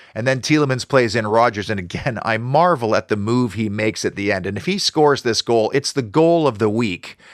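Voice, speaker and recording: A man's plain, everyday voice at a medium pitch, fairly quick with hardly any pauses, with ordinary pitch variation. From Canada. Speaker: football fan commentator. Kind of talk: post-match football review.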